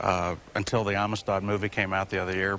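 A man with a very deep, low voice talks at a fairly quick pace in a flat monotone. Light background noise can be heard. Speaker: tour guide. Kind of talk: explanatory storytelling. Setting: remote location hookup. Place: hall.

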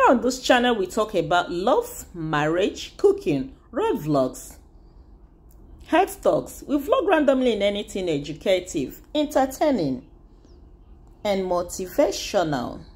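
A woman speaks at a fairly slow pace with vocal fry. Her pitch swings very widely. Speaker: vlogger. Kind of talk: casual vlog chat. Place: car. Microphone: phone near.

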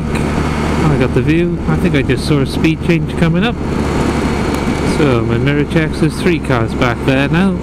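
Loud background noise surrounds speech at a moderate pace with a dry sound and no echo. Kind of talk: riding commentary. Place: motorbike. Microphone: helmet.

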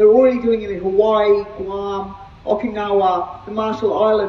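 A woman speaks at a moderate pace with fairly even intonation, her voice carrying an audible room echo. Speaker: speaker. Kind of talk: speech. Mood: earnest, committed. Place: street.

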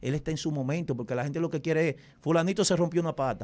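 The man's pitch sits fairly high. He talks very fast. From Dominican Republic. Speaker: radio and TV host specializing in typical music; radio, TV host specializing in typical music. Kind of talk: casual interview. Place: studio. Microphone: studio mic.

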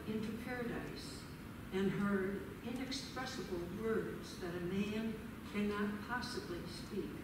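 A woman speaks at a fairly slow pace. Audible room echo and noticeable background noise surround her. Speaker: scripture reader. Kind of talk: scripture reading. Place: church.

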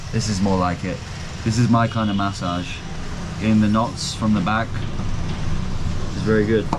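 Noticeable background noise lies under a man delivering his words at a fairly slow pace. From England. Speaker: travel vlogger. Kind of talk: travel vlog narration and casual chat with locals. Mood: amused, relaxed, wincing. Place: shop. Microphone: phone near.

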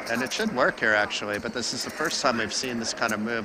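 This man's voice sits at a medium pitch. There is noticeable background noise. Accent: New Jersey. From New Jersey, US. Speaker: poker commentator. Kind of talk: live commentary. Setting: live stream at poker tournament.

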